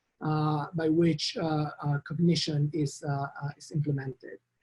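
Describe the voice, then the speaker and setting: This man has a strong Argentine accent and a dark, mellow tone. He talks at a moderate pace. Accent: Argentine Spanish accent, thick. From Argentina. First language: Spanish. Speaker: professor. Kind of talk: lecture. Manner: halting, many fillers.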